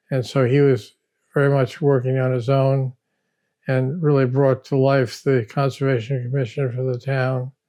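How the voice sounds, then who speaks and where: Speaking at a moderate pace, a man with a medium pitch and a dark, mellow tone keeps a monotone, flat intonation. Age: 80s+. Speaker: architect. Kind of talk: interview. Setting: at his home.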